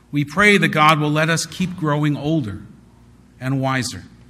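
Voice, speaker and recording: With audible room echo around him, a man speaks at a moderate pace in a bright, sharp tone. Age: 40s. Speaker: rabbi. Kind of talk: sermon.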